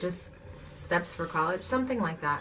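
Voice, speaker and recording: Over noticeable background noise, a woman with a fairly low pitch speaks at a moderate pace. Her tone is animated. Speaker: vlogger. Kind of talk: casual chat.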